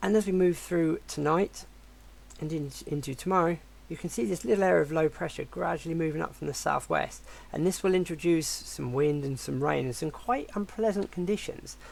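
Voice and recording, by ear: With a fairly quick pace and ordinary pitch variation, the voice sounds croaky with vocal fry and a slightly mellow tone.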